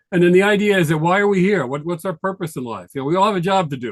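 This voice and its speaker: Here a man speaks with a New York accent. He goes at a very fast pace. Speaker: tax advisor. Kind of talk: presentation.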